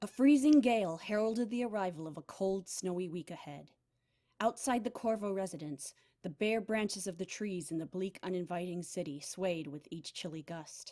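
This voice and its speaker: In an unremarkable speaking voice, a woman talks at a moderate pace and medium pitch with lively intonation. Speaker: voice actor. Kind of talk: audiobook narration.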